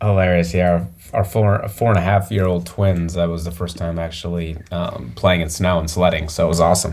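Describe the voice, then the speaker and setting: A man with an American accent speaks at a moderate pace, with a very deep, low pitch and fairly even intonation. Noticeable background noise and audible room echo are present. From Michigan, small town near Flint. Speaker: business owner. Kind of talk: interview.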